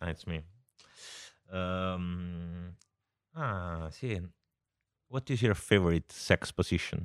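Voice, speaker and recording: With a Southern Italian accent, a man with a very deep, low pitch speaks at a very slow pace, using ordinary pitch variation and long, frequent pauses, in a very clean recording with a silent background and a dry, close sound with no echo. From southern Italy. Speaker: podcast co-host. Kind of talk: casual chat.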